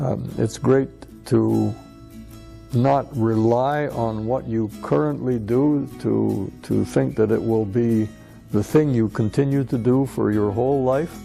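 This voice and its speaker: A man's very slow speech plays against music in the background. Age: 60s. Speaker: retired mining engineer. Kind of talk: interview answer. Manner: hesitant, halting.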